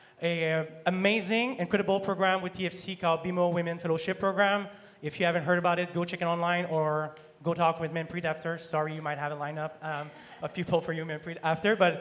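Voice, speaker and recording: Talking very fast in a monotone, flat intonation, a high-pitched man speaks with a French accent. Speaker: sponsorship manager. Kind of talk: panel discussion.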